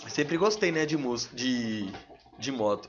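Ordinary pitch variation runs through this man's unremarkable speaking voice. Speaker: rapper. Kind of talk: casual chat. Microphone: too far from the mic.

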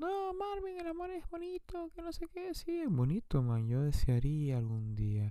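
With hardly any pauses, a man talks at a fairly slow pace. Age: 20s. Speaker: podcaster. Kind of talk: personal monologue.

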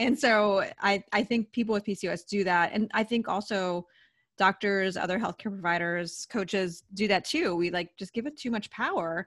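In a very clean recording with a silent background and a dry, close sound with no echo, a woman speaks at a moderate pace in a plain, everyday voice, medium in pitch with ordinary pitch variation. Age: 40s. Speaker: dietitian. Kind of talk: interview.

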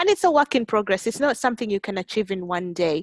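A woman with a normal speaking voice talks at a fairly quick pace with lively intonation, the sound dry and close with no echo. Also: very clean recording, silent background. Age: young. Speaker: volunteer and young professional. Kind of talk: casual chat.

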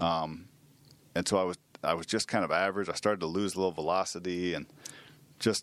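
A man's very deep, low voice with monotone, flat intonation. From Manhattan, Kansas, US Midwest. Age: 40s. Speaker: former professional baseball player. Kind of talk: casual interview. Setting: studio.

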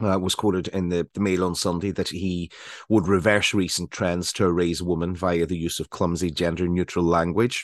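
Speaking at a moderate pace with a Northern Irish accent, the man has a very deep, low voice against a quiet background. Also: dry, close sound with no echo. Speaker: radio show co-host. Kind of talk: casual chat.

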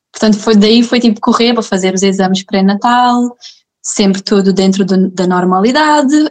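A plain, everyday voice from a woman at medium pitch, fairly quick, with ordinary pitch variation. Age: 20s. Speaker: mother sharing birth story. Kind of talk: personal testimony in casual interview.

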